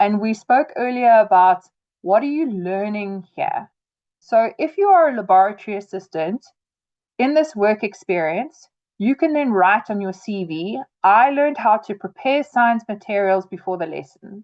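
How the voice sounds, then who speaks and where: A woman with a normal speaking voice, fairly high pitch, lively intonation and a moderate pace. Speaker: trainer. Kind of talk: webinar tutorial. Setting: video call webinar.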